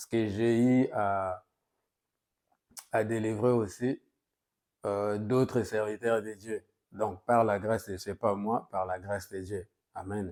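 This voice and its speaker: Very slowly, with long, frequent pauses, a man speaks in a Congolese accent. His fairly low voice has monotone, flat intonation. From DR Congo. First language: Lingala (speaking French). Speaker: pastor. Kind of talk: sermon. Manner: hesitant, with frequent fillers.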